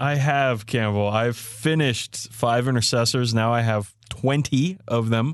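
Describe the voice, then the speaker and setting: Speaking with an American accent, a man keeps a medium pitch, ordinary pitch variation and very even loudness at a fairly slow pace with hardly any pauses. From Maryland, US. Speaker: podcast co-host. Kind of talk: casual chat.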